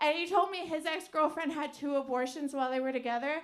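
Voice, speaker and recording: In an American accent, a woman speaks at a very fast pace with fairly even intonation, and the room echo is audible. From US Pacific Northwest, Portland, Oregon. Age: 30s. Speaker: stand-up comedian. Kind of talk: stand-up. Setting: stage with audience. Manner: halting.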